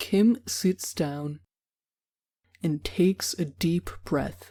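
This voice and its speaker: At a very slow pace, a woman with an American accent speaks in a dark, mellow tone at fairly low pitch with ordinary pitch variation. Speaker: English teacher. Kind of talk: read story for English learners. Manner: slow, clear.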